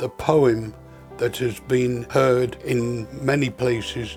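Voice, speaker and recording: Over music in the background, the speaker uses a British accent, talking at a fairly slow pace with fairly even intonation. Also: man. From United Kingdom. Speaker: war veteran. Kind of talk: interview answer.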